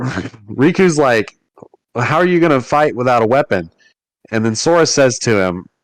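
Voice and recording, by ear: Someone reads aloud in a natural voice with lively intonation. Behind it, everything is quiet.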